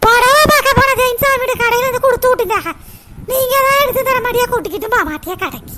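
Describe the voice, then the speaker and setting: In a cartoonish character voice, the speaker talks at an extremely high pitch and a fairly quick pace. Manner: reproachful.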